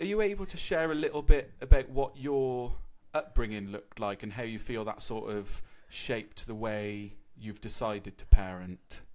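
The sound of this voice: With a slightly mellow tone, a man speaks at a fairly low pitch and a fairly slow pace, with ordinary pitch variation.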